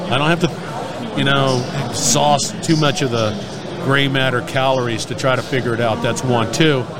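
Noticeable background noise and audible room echo surround this recording. A man talks at a medium pitch with ordinary pitch variation. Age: old. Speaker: industry podcast host. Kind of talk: casual interview. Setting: trade show floor. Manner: animated.

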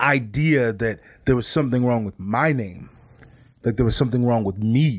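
Speaking at a fairly slow pace, a man has a slightly mellow tone with a slightly husky edge. The recording is very clean, with a silent background.

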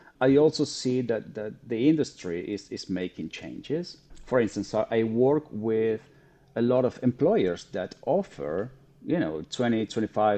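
Very slow, lively speech from a man in a Spanish accent, at medium pitch with a dark, mellow tone. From Argentina. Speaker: psychotherapist. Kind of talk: interview. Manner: halting, with many repeated words.

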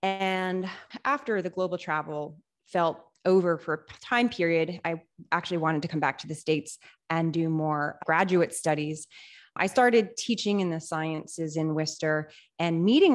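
A woman has an unremarkable speaking voice, fairly low in pitch, at a moderate pace. The background is quiet. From Central Massachusetts. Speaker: makerspace director. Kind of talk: interview.

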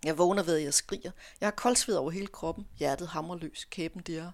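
A woman with a plain, everyday voice and a fairly low pitch, at a moderate pace with ordinary pitch variation, on a very clean recording with a silent background. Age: 50s. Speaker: author. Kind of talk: reading aloud; casual interview chat. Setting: radio studio.

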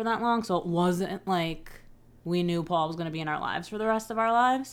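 A woman talks at a moderate pace in a normal speaking voice, with a fairly low pitch and ordinary pitch variation. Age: 30s. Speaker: podcast host. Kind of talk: casual chat.

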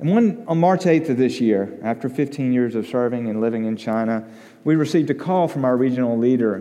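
The tone is dark and mellow, with ordinary pitch variation and a fairly quick pace. Audible room echo surrounds the speech. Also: man. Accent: Alabama. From US South, Alabama (Tuscaloosa). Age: 40s. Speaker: missionary. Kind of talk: sermon.

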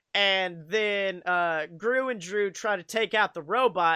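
The speech goes at a very slow pace. The recording is very clean, with a silent background. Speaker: podcast host. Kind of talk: casual comedic banter. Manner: animated.

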